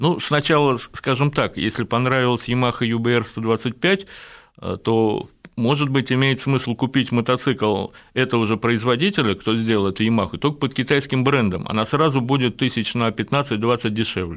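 An unremarkable speaking voice from a man at medium pitch, with ordinary pitch variation and very even loudness. He talks at a fairly slow pace against a quiet background. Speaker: motorcycle journalist and engineer. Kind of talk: radio interview.

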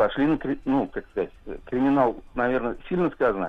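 A man is speaking. His pace is moderate. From Kazan, Russia. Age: 50s. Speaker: caller. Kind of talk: phone call story. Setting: phone call.

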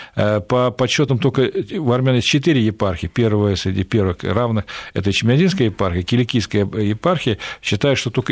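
The speaker is a man at medium pitch. He has an ordinary speaking voice. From Central Asia, Fergana Valley. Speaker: Middle East analyst, think tank director. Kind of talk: radio interview.

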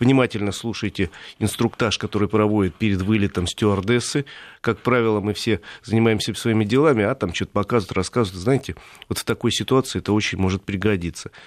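In a very clean recording with a silent background and a dry, close sound with no echo, a man speaks very fast at a fairly low pitch. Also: ordinary pitch variation. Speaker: automotive columnist. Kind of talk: radio talk show discussion. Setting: studio.

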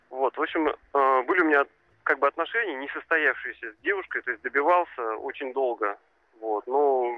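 His pitch is fairly high for a man. He talks at a fairly quick pace. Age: 30s. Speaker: caller. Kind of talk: phone-in call.

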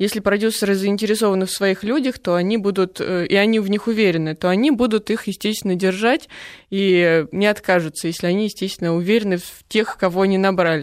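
A woman at a medium pitch, very fast, with very even loudness and ordinary pitch variation, in a very clean recording, silent background. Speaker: prosthetic makeup artist. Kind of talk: radio interview. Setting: studio.

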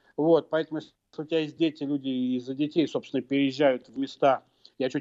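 A man with a fairly high pitch talks at a fairly quick pace in a plain, everyday voice. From Russia, Moscow. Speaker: political scientist and professor. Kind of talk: radio interview. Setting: remote link to radio studio.

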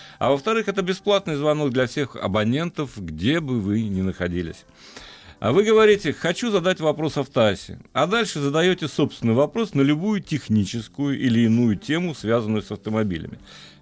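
A man's fairly high-pitched voice at a moderate pace, with very wide pitch swings and music in the background. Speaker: radio host. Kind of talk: casual chat. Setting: studio.

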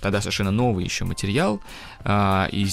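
A man is speaking. His pitch sits fairly low for a man. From Russia, Kazan. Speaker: engineer and tour guide. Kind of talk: educational radio interview.

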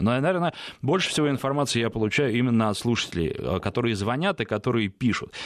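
A man speaks at a very fast pace with lively intonation. His pitch sits in the medium range. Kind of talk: call-in radio show. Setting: radio studio.

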